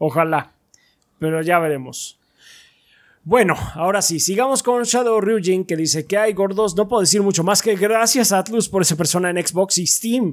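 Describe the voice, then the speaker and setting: Speaking with a Mexican accent, a high-pitched man keeps his loudness very even. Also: ordinary pitch variation, moderate pace. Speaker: podcast co-host. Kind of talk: casual chat. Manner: halting.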